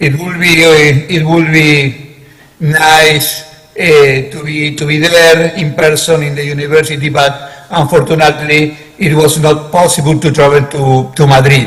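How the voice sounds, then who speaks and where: Through audible room echo and noticeable background noise, a fairly high-pitched man speaks very slowly in a monotone, flat intonation. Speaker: conference panelist on cybersecurity. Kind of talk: conference presentation. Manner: halting, many fillers.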